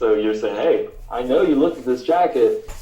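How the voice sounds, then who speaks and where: A man is speaking. Audible room echo and noticeable background noise are present. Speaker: marketing instructor. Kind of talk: webinar presentation. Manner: fast.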